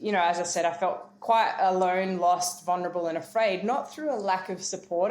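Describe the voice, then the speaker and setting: Speaking fairly quickly with an Australian accent, a woman uses a fairly low pitch and fairly even intonation, with audible room echo. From rural New South Wales, Australia. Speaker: keynote speaker and former professional cricketer. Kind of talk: interview testimony.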